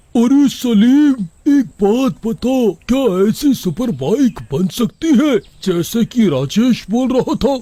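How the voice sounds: In a cartoonish character voice pitched extremely high, a man speaks very slowly with lively intonation and very even loudness.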